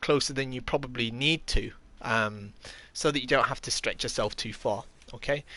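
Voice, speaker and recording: Speaking with an English accent, a man has a medium pitch and a bright, sharp tone. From England. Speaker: kendo instructor and live streamer. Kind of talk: live stream tutorial while gaming. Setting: live stream. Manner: hesitant, many fillers.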